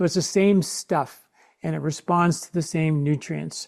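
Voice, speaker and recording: A man's dark, mellow tone on a very clean recording with a silent background. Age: 60s. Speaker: Ayurvedic health expert and author. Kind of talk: interview conversation. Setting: podcast interview.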